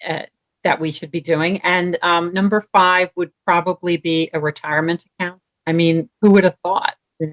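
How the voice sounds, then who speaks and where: A woman with a New York accent, fairly low in pitch, at a moderate pace with big swings in loudness, in a dry, close sound with no echo. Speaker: vacation rental professional. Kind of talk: casual interview. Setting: video call. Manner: animated.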